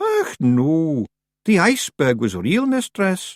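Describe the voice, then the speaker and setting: Fairly high-pitched, a man puts on a character voice. He speaks at a fairly slow pace. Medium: read story. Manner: nervous, eager.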